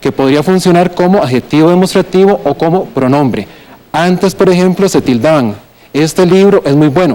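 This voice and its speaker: Speaking at a moderate pace in a Costa Rican accent, a man with a high pitch keeps his loudness very even while his pitch moves in an ordinary way. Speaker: writer and philologist. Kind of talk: TV language segment explanation.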